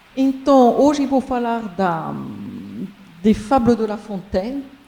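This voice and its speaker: Very slowly, a woman with a strong French accent speaks at a fairly high pitch with ordinary pitch variation. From France. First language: French (speaking Portuguese). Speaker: university professor. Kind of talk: conference talk.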